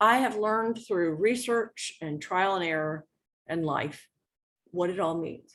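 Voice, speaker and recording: In a normal speaking voice, a woman talks at a moderate pace in a medium pitch with lively intonation. The background is quiet. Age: 60s. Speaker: educational consultant. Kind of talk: webinar presentation.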